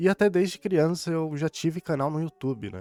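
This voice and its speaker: Over music in the background, a man mumbles at a moderate pace in a dry, close sound with no echo. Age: 20s. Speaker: gaming YouTuber. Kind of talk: casual chat. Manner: mumbling.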